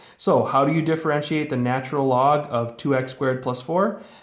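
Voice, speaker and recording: A man speaks at a medium pitch with fairly even intonation. There is audible room echo. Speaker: high school math teacher. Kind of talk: lecture. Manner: fast.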